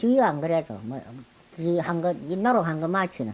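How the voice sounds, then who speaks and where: The pace is fairly slow while the pitch swings very widely. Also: woman. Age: 80s+. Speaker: wild herb forager. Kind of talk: interview answer.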